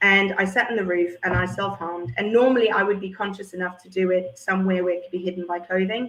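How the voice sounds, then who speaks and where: This woman speaks at a fairly quick pace with fairly even intonation. Her pitch is medium. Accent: South African. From South Africa, Port Elizabeth. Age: 40s. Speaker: former teacher. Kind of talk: testimony. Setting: live stream.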